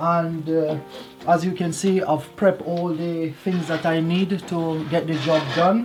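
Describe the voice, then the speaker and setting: With noticeable background noise, a woman speaks at a very slow pace in a fairly low pitch and a monotone, flat intonation. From Jamaica. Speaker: vlogger, home gardener. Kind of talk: casual vlog narration. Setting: outdoors. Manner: halting, many fillers.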